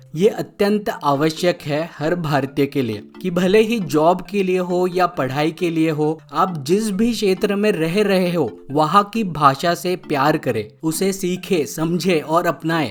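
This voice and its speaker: A man's high voice with a Bengali accent and ordinary pitch variation. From India, Maharashtra. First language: Bengali (speaking Hindi). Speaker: YouTube explainer host. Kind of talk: educational explainer narration.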